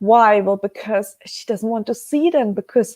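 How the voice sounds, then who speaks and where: With a German accent, a woman speaks at a fairly high pitch with lively intonation. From Germany. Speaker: webcast host, precious metals business. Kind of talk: live webcast talk. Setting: live stream. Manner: slow; hesitant, many fillers.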